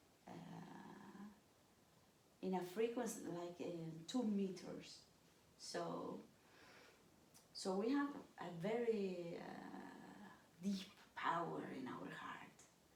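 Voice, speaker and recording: A woman of medium pitch at a very slow pace, with long, frequent pauses, big swings in loudness, ordinary pitch variation and audible room echo. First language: not English. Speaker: stepmother of the channel host. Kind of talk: casual chat. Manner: halting.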